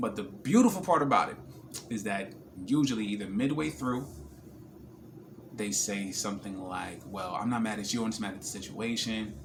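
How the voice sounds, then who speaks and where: Relaxed, lively-toned American accent at a moderate pace, with audible room echo. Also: man. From New Jersey. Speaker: vlogger. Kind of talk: personal vlog. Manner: casual, relaxed.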